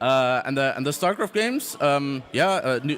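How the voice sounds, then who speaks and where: The man talks at a fairly slow pace. Noticeable background noise runs underneath. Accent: German. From Germany. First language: German. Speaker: esports player. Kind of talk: casual interview. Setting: live tournament venue. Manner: halting.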